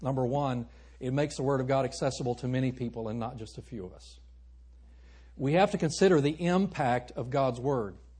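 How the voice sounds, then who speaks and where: The man's voice is somewhat breathy, at a medium pitch with ordinary variation. He moves at a fairly quick pace, and his loudness swings widely. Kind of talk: sermon. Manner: animated, warm and joking, with audience call-and-response and urgent pleas.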